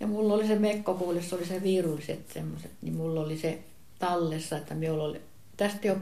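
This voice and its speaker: A woman speaks in a fairly low pitch at a moderate pace. Her intonation is fairly even, and room echo is audible. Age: 80s+. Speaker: relative of the grandfather. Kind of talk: casual reminiscing conversation.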